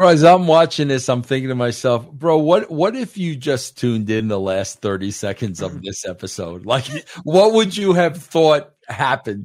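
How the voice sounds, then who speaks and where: Animated in tone, a man speaks with hardly any pauses and very wide pitch swings. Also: medium pitch for a man, moderate pace. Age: 60s. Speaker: podcast host. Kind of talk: casual chat.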